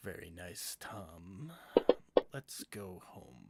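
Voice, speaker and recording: A man uses a raspy, put-on character voice pitched fairly low. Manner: sinister, calm.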